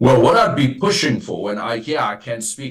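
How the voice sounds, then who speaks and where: Using a normal speaking voice, a man talks at a fairly quick pace. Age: 60s. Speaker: former party leader, political analyst. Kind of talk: radio interview.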